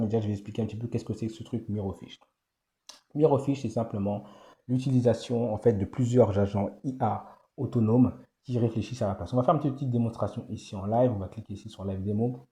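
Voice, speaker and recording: Against a quiet background, a man at medium pitch talks at a very fast pace in a somewhat breathy, dark, mellow tone with fairly even intonation. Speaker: AI business YouTuber. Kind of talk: screen-share tutorial. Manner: soft-spoken, morning voice; hesitant with many fillers.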